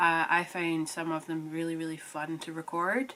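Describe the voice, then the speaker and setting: A woman speaks at a fairly low pitch. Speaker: knitting podcaster. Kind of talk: casual chat.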